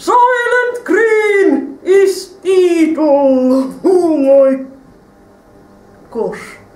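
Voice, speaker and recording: A cartoonish character voice speaks at an extremely high pitch and a very slow pace. A slight echo surrounds it. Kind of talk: live stage ventriloquist show. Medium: puppet.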